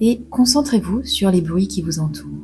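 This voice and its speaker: Over music in the background, a calm voice speaks at a very slow pace. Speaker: meditation guide. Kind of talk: guided sleep meditation. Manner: slow, calm.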